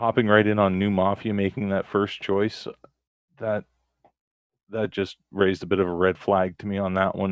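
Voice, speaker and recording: A man's fairly low pitch, moderate pace and monotone, flat intonation. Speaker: online game player. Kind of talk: casual chat. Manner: mumbling, stumbling.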